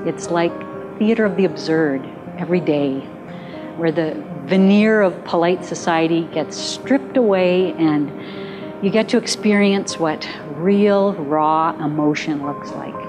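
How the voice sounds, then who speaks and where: With clear music in the background, a woman with a fairly low pitch speaks fairly slowly, leaving long, frequent pauses. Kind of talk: documentary monologue. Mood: reflective, candid. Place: home room.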